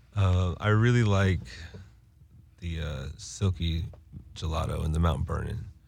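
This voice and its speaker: In a room with audible echo, a man with a very deep, low pitch speaks at a moderate pace with ordinary pitch variation and long, frequent pauses. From Winston-Salem, North Carolina. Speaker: cannabis brand representative. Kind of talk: casual chat.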